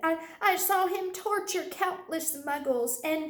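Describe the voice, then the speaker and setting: This squeaky, put-on character voice is clearly an act. It moves at a fairly slow pace. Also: woman, extremely high pitch for a woman. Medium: read story. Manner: breathless, stammering.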